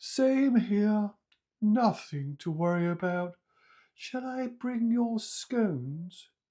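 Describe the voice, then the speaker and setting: A put-on character voice at a fairly high pitch moves along at a very slow pace. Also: very clean recording, silent background. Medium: read story. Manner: friendly, unfazed.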